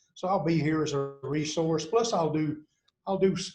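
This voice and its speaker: At a moderate pace, a man speaks in a somewhat breathy, fairly high voice. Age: 60s. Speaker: university athletics administrator, former basketball coach. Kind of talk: podcast interview.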